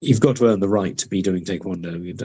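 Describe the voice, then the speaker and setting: A man with a fairly low voice talks at a very fast pace, his intonation fairly even. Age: 60s. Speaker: martial arts master and referee. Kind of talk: webinar talk. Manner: hesitant, many fillers.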